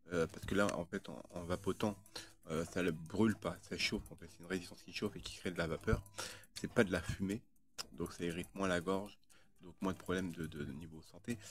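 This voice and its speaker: Big swings in loudness, a fairly quick pace and ordinary pitch variation. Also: man, very deep, low pitch for a man. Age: 30s. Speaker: video blogger. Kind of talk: casual monologue. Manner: halting, many fillers and repetitions.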